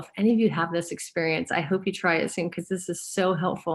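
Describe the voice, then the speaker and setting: Here is an unremarkable speaking voice with an American accent. Its pitch variation is ordinary. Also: woman. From US Pacific Northwest, Gig Harbor, Washington. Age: 60s. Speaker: therapist and author. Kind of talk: interview.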